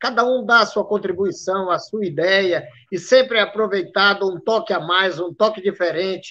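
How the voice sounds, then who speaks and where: At a moderate pace with hardly any pauses, a man speaks at a high pitch with ordinary pitch variation. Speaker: samba school drum master. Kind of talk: casual interview. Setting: video call live stream.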